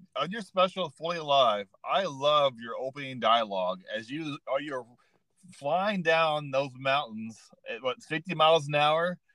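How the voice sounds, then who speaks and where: Close and dry with no echo, a man's bright, sharp voice moves at a fairly slow pace with lively intonation. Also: fairly high pitch for a man. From Arkansas. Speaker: podcast host. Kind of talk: casual interview.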